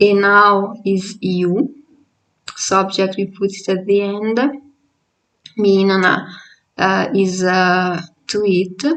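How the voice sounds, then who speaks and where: A woman at a medium pitch with an Italian accent, very slow pace, monotone, flat intonation and long, frequent pauses. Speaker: language teacher. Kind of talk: tutorial. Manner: halting.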